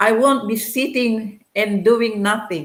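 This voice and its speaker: Amid audible room echo, a woman with a fairly high voice and ordinary pitch variation speaks at a very slow pace. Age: 60s. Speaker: digital business owner. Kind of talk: testimony.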